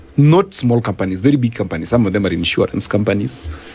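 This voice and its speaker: Over noticeable background noise, a man speaks at a fairly quick pace with lively intonation. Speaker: governance and policy expert. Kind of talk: radio interview. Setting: radio studio. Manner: fast.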